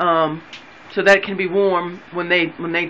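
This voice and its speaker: Light background noise sits behind speech delivered at a moderate pace. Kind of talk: casual tutorial narration. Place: bathroom. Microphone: phone near.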